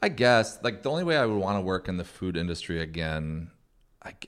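With a plain, everyday voice and an American accent, a man speaks at a fairly quick pace with lively intonation on a very clean recording with a silent background. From Oregon, US Pacific Northwest. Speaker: comedian and podcast host. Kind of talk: casual chat.

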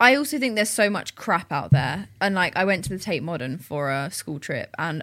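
At a moderate pace, a woman of medium pitch talks with very wide pitch swings on a very clean recording with a silent background. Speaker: guest. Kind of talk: casual chat.

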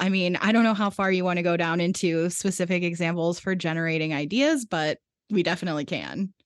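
A woman talks at a fairly quick pace with hardly any pauses, her pitch fairly low. It is a plain, everyday voice, heard over a quiet background. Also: very even loudness. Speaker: podcast producer and editor. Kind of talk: casual interview chat.

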